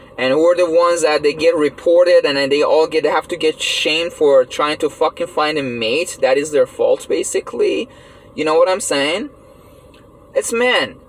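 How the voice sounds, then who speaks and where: A man speaks at a moderate pace. Noticeable background noise can be heard behind him. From Iran. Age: 30s. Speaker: vlogger. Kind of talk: personal monologue rant. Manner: halting, many fillers; animated.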